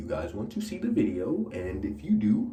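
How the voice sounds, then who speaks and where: A man talks in a relaxed tone, with music playing in the background. There is audible room echo. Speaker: hair care youtuber. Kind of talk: casual tutorial vlog. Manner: relaxed, casual.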